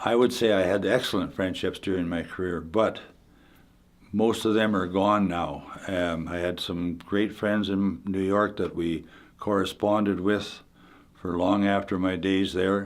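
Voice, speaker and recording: In a Manitoban accent, a man speaks with a very deep, low pitch and fairly even intonation. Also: fairly slow pace. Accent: Canadian (Manitoba). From Canada, Winnipeg, Manitoba. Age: 80s+. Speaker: retired hockey player. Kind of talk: interview reminiscence. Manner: halting, many fillers and repeats.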